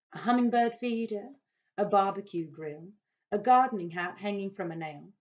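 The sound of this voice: Quiet surroundings and an unforced reading voice with ordinary rises and falls in pitch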